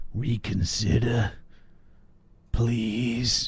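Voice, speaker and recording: A man puts on a raspy character voice at a medium pitch. His intonation stays fairly even. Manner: creepy.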